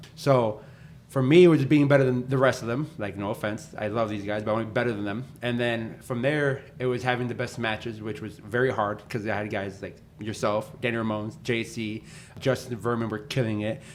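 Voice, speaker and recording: A man talks fairly quickly in a normal speaking voice, his medium pitch held in fairly even intonation. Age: 20s. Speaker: professional wrestler and podcast host. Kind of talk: casual chat.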